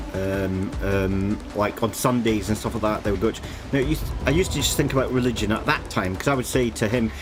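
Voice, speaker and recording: The speaker talks at a very fast pace in a Scottish accent. Music plays in the background, and room echo is audible. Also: man, fairly low pitch for a man, ordinary pitch variation. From Scotland. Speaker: vtuber game streamer. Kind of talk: casual live-stream chat.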